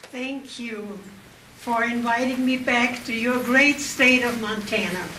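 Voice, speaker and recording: A woman with a German accent speaks at a high pitch and a fairly slow pace with fairly even intonation. Audible room echo and noticeable background noise fill the recording. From Austria. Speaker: Holocaust survivor speaker. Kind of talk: public speech.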